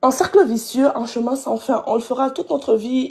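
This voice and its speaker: Moderate-paced, somewhat breathy speech from a woman with a dark, mellow tone. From Congo. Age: young. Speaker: live stream viewer calling in. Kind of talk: casual chat.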